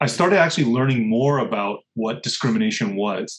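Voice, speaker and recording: A man's somewhat breathy, medium-pitched voice with a General American accent, at a moderate pace. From US Midwest (Rochester, Minnesota), then California. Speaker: food entrepreneur. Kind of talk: interview conversation. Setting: remote call.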